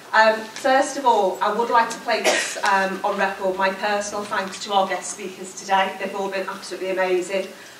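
A woman speaks at a moderate pace with hardly any pauses and fairly even intonation. Light background noise and audible room echo are present. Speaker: trade union regional convenor. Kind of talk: conference closing speech. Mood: forceful, rallying. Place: hall. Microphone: podium.

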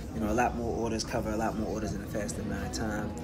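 A man at a very fast pace amid loud background noise. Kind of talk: casual vlog chat. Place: cafe. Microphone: phone near.

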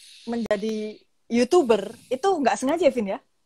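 With a fairly quick pace and lively intonation, the woman talks on. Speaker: live stream host. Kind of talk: casual interview over Instagram Live. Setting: Instagram live video call.

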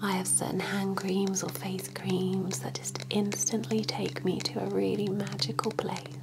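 Soft-spoken and fairly slow, a woman talks over noticeable background noise. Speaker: relaxation guide. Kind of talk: soft guided relaxation, ASMR-style. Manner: soft, dreamy ASMR voice. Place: home room.

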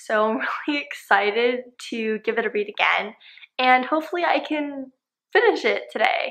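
A woman with a high voice speaks at a moderate pace with lively intonation. The background is quiet. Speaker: book vlogger. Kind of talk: casual talk to camera. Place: home room. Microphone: phone near.

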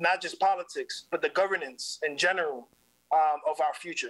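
A fairly quick, high-pitched male voice with a bright, sharp tone over a quiet background. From New York City, South Bronx; New York City. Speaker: community organizer; guest. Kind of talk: interview. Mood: earnest, engaged. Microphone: video call.

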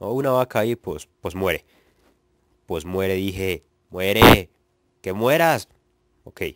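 With a very deep, low pitch and lively intonation, a man speaks at a fairly slow pace with long, frequent pauses in a dry, close sound with no echo. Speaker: gaming youtuber. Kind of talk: let's play commentary.

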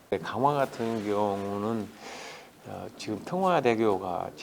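Noticeable background noise sits behind a man's voice. He speaks with a fairly low pitch and lively intonation. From South Chungcheong, South Korea. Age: 60s. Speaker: politician, parliamentary candidate. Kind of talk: interview answer.

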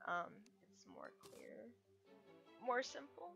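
Music plays behind a woman as she talks. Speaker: gaming tutorial creator. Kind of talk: casual game tutorial voiceover. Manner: hesitant, many fillers.

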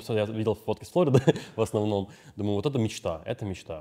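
A man speaks at a fairly quick pace in a fairly low pitch. His tone is dark and mellow over a quiet background. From Russia, Novorossiysk; Russia. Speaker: podcast host. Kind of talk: casual interview. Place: hall.

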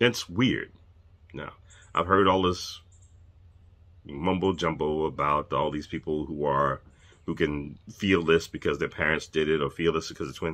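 A man speaks at a fairly slow pace with extremely low pitch and a fairly bright tone. His intonation stays fairly even, broken by long, frequent pauses.

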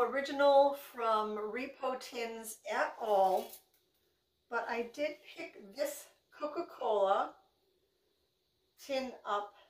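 A woman speaks at a very slow pace with a high pitch. Audible room echo surrounds her voice. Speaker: thrift reseller vlogger. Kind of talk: casual vlog chat. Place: kitchen. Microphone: phone near.

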